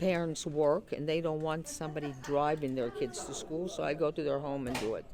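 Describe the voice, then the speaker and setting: The intonation is fairly even, with a Greek accent. Audible room echo surrounds the voice. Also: woman, very deep, low pitch for a woman, hardly any pauses. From Greece, Patras, moved to Pittsburgh at 11. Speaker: retired Greek school teacher, community member. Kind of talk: interview. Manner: halting, many fillers.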